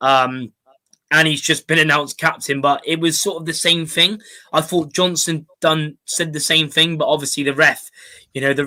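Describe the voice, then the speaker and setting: A bright, sharp tone with monotone, flat intonation in a Bristol accent. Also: man, fairly high pitch for a man, moderate pace. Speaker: football fan podcast host. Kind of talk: casual chat. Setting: online live stream. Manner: hesitant, many fillers.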